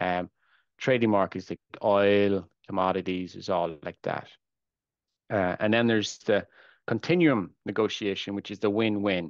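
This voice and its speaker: In an Irish accent, a man speaks with a fairly low pitch at a moderate pace, leaving long, frequent pauses. His intonation is fairly even, and the sound is dry and close with no echo against a quiet background. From Ireland, border area near Dundalk. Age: 40s. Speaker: supply chain expert. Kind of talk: podcast interview.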